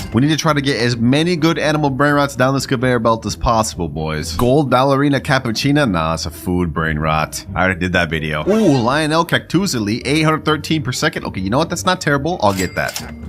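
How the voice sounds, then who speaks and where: A man talks at a very fast pace with hardly any pauses, his medium pitch swinging very widely. Noticeable background noise is present. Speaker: gaming YouTuber. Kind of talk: gameplay commentary. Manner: animated.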